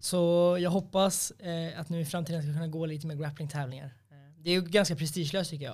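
A man talks at a fairly quick pace in a plain, everyday voice, pitched fairly high. His intonation stays fairly even while his loudness swings widely. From Sweden, Norrtälje. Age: 20s. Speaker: MMA fighter. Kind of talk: casual chat.

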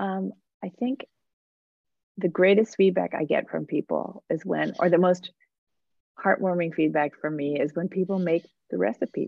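A woman with an American accent speaks at a moderate pace and a fairly low pitch. Her pitch varies in an ordinary way, broken by long, frequent pauses. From New Jersey. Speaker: food writer and podcaster. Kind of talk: interview conversation. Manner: animated.

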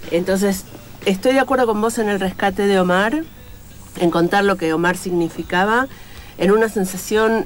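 A woman speaks at a fairly slow pace in a medium pitch, her loudness very even and her pitch variation ordinary, with noticeable background noise. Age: 50s. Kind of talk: interview.

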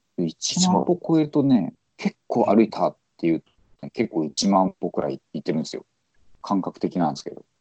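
With vocal fry and a fairly low pitch, a man talks at a moderate pace, his pitch swinging very widely and his loudness shifting a lot. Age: 40s. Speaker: podcast host. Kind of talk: casual chat.

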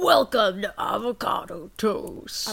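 A put-on character voice is heard here. Its pitch is fairly high, and it moves fairly slowly. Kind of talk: bright polite sales voice. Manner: welcoming, upbeat.

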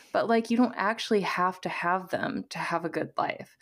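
Heard in a very clean recording with a silent background, a woman with an ordinary speaking voice talks at a moderate pace and medium pitch. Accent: American. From US Midwest, southern Missouri. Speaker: career coach. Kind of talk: casual interview conversation.

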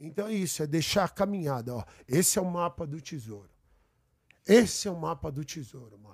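Fairly high-pitched and lively in intonation, a man speaks at a fairly quick pace broken by long, frequent pauses. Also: big swings in loudness, very clean recording, silent background. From São Paulo, Brazil. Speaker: guest. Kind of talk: casual chat. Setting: studio.

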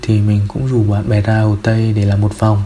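A man's medium-pitched voice at a moderate pace, with noticeable background noise. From Vinh, Nghe An, north-central Vietnam. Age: 20s. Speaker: listener sharing a personal story. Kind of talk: personal storytelling interview.

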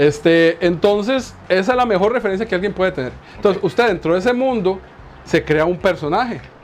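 Man at a fairly quick pace with lively intonation, against noticeable background noise. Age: 40s. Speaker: Dungeons & Dragons game master. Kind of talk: casual chat.

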